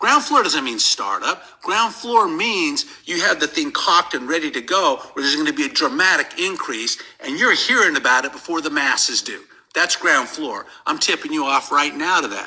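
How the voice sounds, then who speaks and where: With noticeable background noise behind him, a man speaks at a moderate pace in a high pitch, his pitch swinging very widely. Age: 60s. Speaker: network marketing leader. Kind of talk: sales pitch. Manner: animated.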